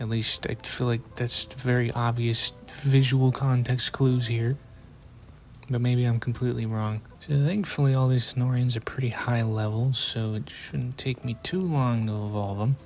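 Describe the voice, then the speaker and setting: A man's medium-pitched voice at a moderate pace, with fairly even intonation and music in the background. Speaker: gaming YouTuber. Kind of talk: gameplay commentary. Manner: monotone.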